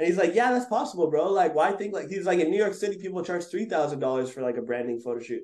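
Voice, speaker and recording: With a Montreal accent, a man talks very fast at a high pitch with very wide pitch swings and hardly any pauses. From Montreal, Quebec. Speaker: photographer and videographer. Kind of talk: interview. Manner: casual, filler-heavy.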